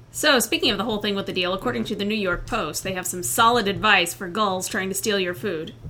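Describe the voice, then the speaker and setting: Speaking at a very fast pace with hardly any pauses, the voice has lively intonation over noticeable background noise. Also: woman, medium pitch for a woman. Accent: American. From Indiana. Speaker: birding podcast host, park ranger. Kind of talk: casual chat.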